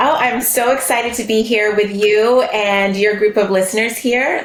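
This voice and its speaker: Noticeable background noise and audible room echo surround a woman's fairly high voice. She speaks at a moderate pace with fairly even intonation. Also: hardly any pauses. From Bahamas. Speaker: therapist and business founder. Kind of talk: podcast interview.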